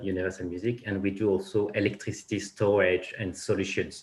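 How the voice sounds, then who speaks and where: A man speaks with a French accent at a fairly low pitch, somewhat breathy. His pace is moderate, and the background is quiet. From France. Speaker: finance executive. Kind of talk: panel discussion. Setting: conference panel. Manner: halting, many repetitions.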